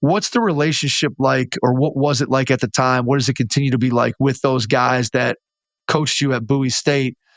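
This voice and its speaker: A man at medium pitch, with an unremarkable speaking voice, a fairly quick pace, fairly even intonation and very even loudness, his sound dry and close with no echo on a very clean recording with a silent background. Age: 50s. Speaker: basketball podcast host. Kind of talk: interview.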